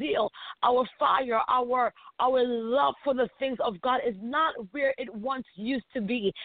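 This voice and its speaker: A woman speaks fairly slowly at a high pitch. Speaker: preacher. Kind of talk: sermon. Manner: hesitant with many fillers.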